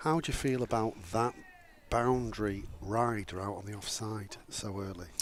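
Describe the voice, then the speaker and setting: Noticeable background noise sits behind a man with a northern English accent. His fairly low voice moves at a moderate pace with ordinary pitch variation. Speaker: cricket commentator. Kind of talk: live commentary.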